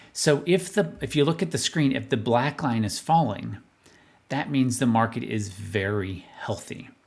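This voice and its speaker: A man's voice with vocal fry and very wide pitch swings. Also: medium pitch for a man. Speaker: financial advisor. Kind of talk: market analysis video monologue. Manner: fast.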